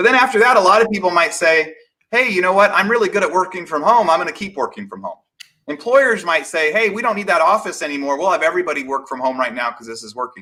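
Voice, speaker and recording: A man in a high, bright, sharp voice speaks at a very fast pace, with very wide pitch swings and big swings in loudness. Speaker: real estate webinar presenter. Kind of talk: live webinar presentation. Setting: livestream.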